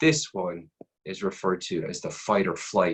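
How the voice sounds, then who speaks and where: A man's ordinary speaking voice, an ordinary speaking voice at a fairly slow pace with ordinary pitch variation. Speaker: anatomy and physiology instructor. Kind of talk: lecture.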